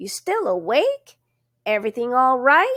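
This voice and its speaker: Putting on a character voice, a woman talks at a moderate pace, her high pitch swinging very widely. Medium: read story. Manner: hesitant, folksy country speech.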